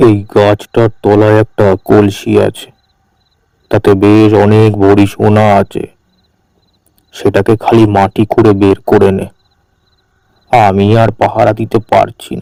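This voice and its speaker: Putting on a gruff character voice, a man speaks at a fairly slow pace and fairly low pitch. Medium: cartoon. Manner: gruff, familiar, addresses others with tui.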